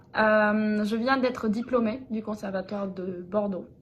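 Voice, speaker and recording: Somewhat breathy and fairly high, a woman's voice moves at a fairly slow pace with fairly even intonation. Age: 20s. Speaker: opera singer (soprano). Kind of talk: casual video introduction. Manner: hesitant, many fillers.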